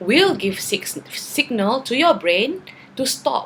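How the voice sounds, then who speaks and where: A woman speaks with lively intonation. Her pace is fairly slow. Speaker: vlogger. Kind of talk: casual vlog monologue.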